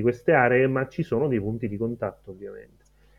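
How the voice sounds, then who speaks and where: At a fairly quick pace, a man with an unremarkable speaking voice speaks at a medium pitch with fairly even intonation. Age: 30s. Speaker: data science educator. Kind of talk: interview.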